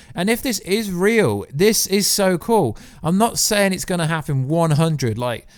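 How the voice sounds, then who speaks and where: A man with an English accent talks at a moderate pace in an animated tone, his pitch swinging very widely. The recording is very clean, with a silent background. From England. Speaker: YouTuber, TV commentator. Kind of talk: casual vlog commentary.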